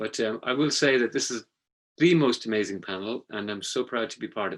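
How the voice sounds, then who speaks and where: A man talks with an Irish accent. His pace is fairly quick and his intonation lively. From Ireland. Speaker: former journalist. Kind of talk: panel discussion.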